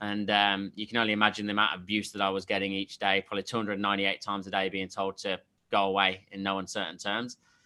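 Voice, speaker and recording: A man with an English accent talks at a very fast pace in a bright, sharp tone with monotone, flat intonation. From England, Leicester. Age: 30s. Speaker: sales coach. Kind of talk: interview. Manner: halting, many fillers.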